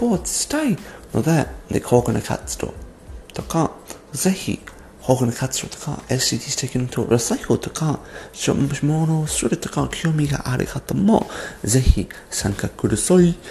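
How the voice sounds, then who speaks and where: Noticeable background noise sits under a voice that moves at a fairly slow pace with lively intonation. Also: man, fairly high pitch for a man. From abroad, non-Japanese. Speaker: podcaster. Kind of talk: solo podcast monologue. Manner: halting.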